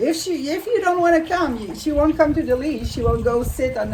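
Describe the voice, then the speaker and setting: A woman with a strong French Canadian accent talks over noticeable background noise. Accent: thick French Canadian accent in English. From Quebec, French Canada. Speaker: animal communicator and naturopath. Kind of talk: interview. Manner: halting.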